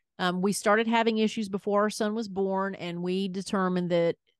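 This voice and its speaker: A woman with a strong Southern US accent at a fairly quick pace, fairly even intonation, dry, close sound with no echo and a quiet background. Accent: thick Southern US. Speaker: podcast host, former radio host. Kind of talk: casual chat.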